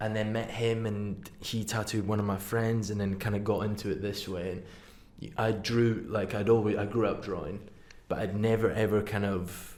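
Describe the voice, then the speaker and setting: Speaking in a Highland Scottish accent, a man talks at a moderate pace in a fairly low pitch. His intonation is monotone and flat, with audible room echo. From Scottish Highlands. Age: 20s. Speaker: tattoo artist. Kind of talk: casual chat. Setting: studio.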